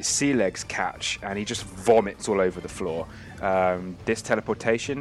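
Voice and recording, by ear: In a natural voice, the speaker is reading aloud.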